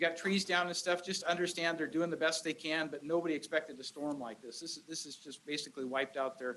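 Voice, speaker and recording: The tone is bright and sharp, with ordinary pitch variation. The pace is very fast. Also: man. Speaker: county supervisor. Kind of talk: public meeting address. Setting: community meeting room with crowd. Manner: loud.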